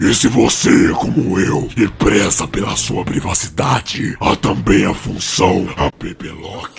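A man's put-on character voice, very deep, low and raspy, at a fairly slow pace, with clear background noise. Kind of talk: comic overacting. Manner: loud, brash, insulting.

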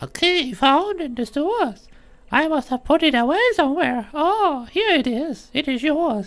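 Using a put-on character voice at an extremely high pitch, a man speaks at a moderate pace. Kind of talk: reading NPC dialogue aloud. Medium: game stream. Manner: gentle, homely. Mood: warm, fond.

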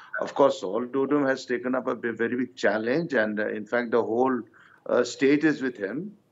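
This man talks fairly quickly, his pitch varying in an ordinary way. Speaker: opposition politician. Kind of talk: televised panel debate. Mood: measured, cautious. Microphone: video call.

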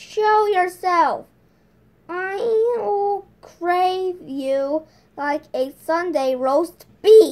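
In a put-on character voice, a woman shouts at an extremely high pitch and a very slow pace. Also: lively intonation. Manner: angry, startled shout.

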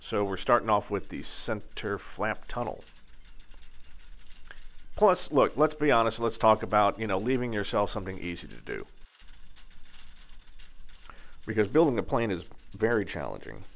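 Here a man speaks at a moderate pace with ordinary pitch variation. Long, frequent pauses break up his speech. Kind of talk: tutorial. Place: workshop.

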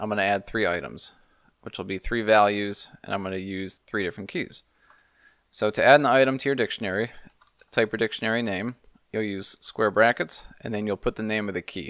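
A man speaks at a fairly quick pace and a fairly low pitch, with ordinary pitch variation. The background is quiet, and the sound is dry with no echo. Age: 30s. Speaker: programming tutorial youtuber. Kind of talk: tutorial. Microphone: studio mic.

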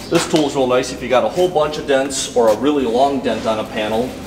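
Noticeable background noise accompanies a speaker going at a fairly quick pace. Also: man. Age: 30s. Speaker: auto body shop worker. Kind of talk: shop tour explanation. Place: garage. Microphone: camera far.

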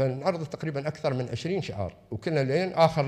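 In a quiet setting, a man with a fairly high pitch and a somewhat breathy voice talks at a moderate pace with ordinary pitch variation. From UAE. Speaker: religious affairs official; invited lecturer. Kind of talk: lecture. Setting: lecture hall with audience. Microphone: podium.

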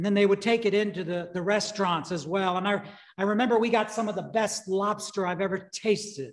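A man speaks at a moderate pace with a high pitch. His pitch variation is ordinary.

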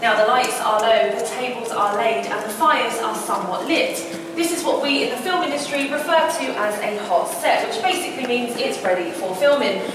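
At a fairly quick pace, a woman speaks with a high pitch and very wide pitch swings. Strong room echo and noticeable background noise fill the recording. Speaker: tour guide. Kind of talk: guided tour commentary. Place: hall. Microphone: camera far.

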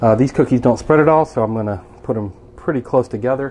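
Very fast pace from a man, with ordinary pitch variation. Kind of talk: casual vlog chat. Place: kitchen.

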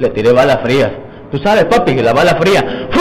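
A man is heard over noticeable background noise. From Mexico. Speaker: arrested man. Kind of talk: street interview. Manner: agitated. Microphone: handheld.

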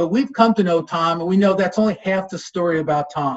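A man talks at a fairly quick pace, his pitch high with ordinary variation. The background is quiet. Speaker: master of ceremonies. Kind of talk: formal event hosting. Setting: video call. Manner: formal. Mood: warm, friendly. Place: home room. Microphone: webcam.

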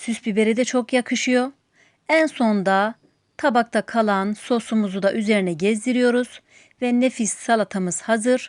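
In a dry, close recording with no echo and a quiet background, a woman with a plain, everyday voice speaks at a fairly slow pace and a fairly high pitch, with very even loudness and ordinary pitch variation. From Turkey, outside Istanbul. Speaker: cooking channel host. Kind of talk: cooking tutorial. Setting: home kitchen.

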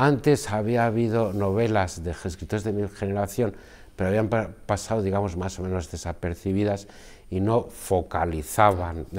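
At a fairly slow pace, a man talks with a fairly low pitch. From Basque Country, Spain (Guipúzcoa). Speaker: novelist and poet. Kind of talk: interview. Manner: halting. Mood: calm, reflective. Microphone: lapel.

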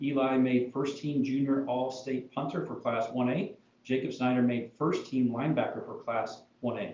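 Fairly even intonation from a man, set against noticeable background noise. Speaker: school board member. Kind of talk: meeting announcements. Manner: fast.

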